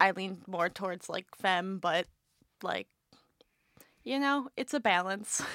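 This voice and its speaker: On a very clean recording with a silent background and a dry, close sound free of echo, a woman speaks at a moderate pace and medium pitch in a bright, sharp tone. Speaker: college student. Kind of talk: casual group discussion.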